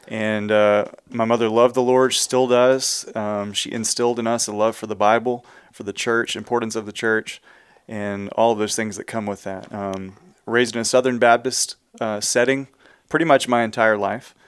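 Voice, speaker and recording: A Texan accent at a moderate pace, with monotone, flat intonation. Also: man, medium pitch for a man. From Texas, Houston area. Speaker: church music and worship minister. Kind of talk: casual interview.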